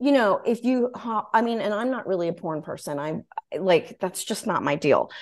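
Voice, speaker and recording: A woman's voice with very wide pitch swings, over a quiet background. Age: 40s. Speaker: podcast host and author. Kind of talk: casual chat.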